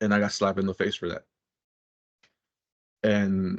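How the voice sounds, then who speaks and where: A man is speaking. He keeps a moderate pace. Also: dry, close sound with no echo. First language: Spanish. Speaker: peer mentor. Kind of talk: interview, personal testimony. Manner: halting, with frequent repeats.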